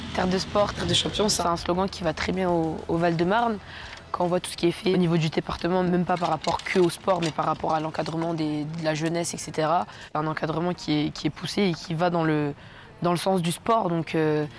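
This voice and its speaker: Fairly quick, fairly even speech from a woman with a fairly low pitch. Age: 20s. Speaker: track cyclist. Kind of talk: interview. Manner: hesitant, many fillers.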